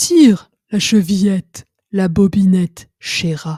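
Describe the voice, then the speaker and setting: A woman uses a put-on character voice at medium pitch. She speaks at a fairly slow pace. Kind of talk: gruff. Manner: softened, feigned gentleness.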